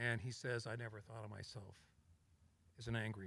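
A man with an American accent talks at a moderate pace in a fairly low pitch, with vocal fry and fairly even intonation. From Colorado, US. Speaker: TV director and producer. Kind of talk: live panel discussion.

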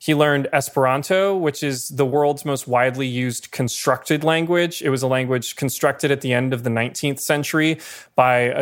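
Here a man speaks at a fairly quick pace in a medium pitch. The recording is very clean, with a silent background. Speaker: podcast host. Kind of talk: scripted-feeling movie history discussion, casual chat. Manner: animated, jokey.

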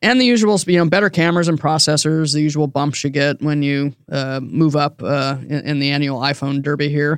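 In a very clean recording with a silent background, a normal speaking voice moves at a fairly quick pace with hardly any pauses and ordinary pitch variation. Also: man, fairly high pitch for a man. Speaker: podcast host. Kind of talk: casual banter podcast about tech. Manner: conversational, good-humored.

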